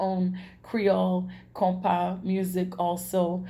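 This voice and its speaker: A woman's somewhat breathy, dark, mellow voice of medium pitch with an American accent, plus audible room echo. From New York, Brooklyn. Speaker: singer. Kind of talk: self-introduction video. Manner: halting, many fillers.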